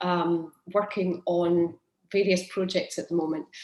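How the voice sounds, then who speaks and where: With monotone, flat intonation, a woman speaks at medium pitch. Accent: Scottish. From Scotland. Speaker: project manager. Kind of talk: webinar introduction.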